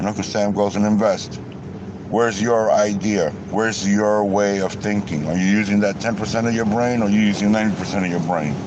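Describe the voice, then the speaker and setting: With an angry tone and fairly even intonation, a man speaks at a fairly quick pace over noticeable background noise. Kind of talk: casual rant to camera. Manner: angry, profane.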